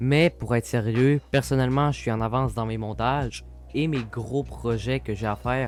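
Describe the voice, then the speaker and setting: A man with a Quebec accent speaks at a moderate pace in a medium pitch, with ordinary pitch variation and music playing in the background. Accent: Québécois. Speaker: video editor. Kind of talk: casual interview answers.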